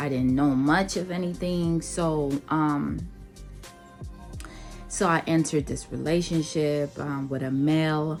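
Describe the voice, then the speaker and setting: Over music in the background, a woman with a very deep, low pitch speaks at a fairly slow pace with fairly even intonation and long, frequent pauses. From Nigeria. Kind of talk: casual talk to camera.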